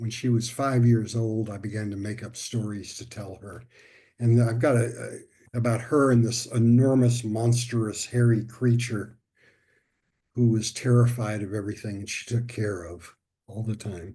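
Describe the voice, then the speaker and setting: Over a quiet background, a man with a medium pitch speaks at a moderate pace in a somewhat breathy, dark, mellow tone, with monotone, flat intonation and big swings in loudness. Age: 70s. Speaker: somatic touch therapy teacher. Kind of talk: interview answer.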